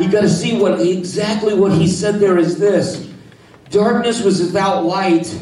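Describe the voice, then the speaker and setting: A man talks fairly slowly in a high voice with an animated tone and very even loudness. Background noise is clearly audible. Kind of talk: sermon, live preaching to a congregation. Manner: animated, exhorting, call-and-response, fiery.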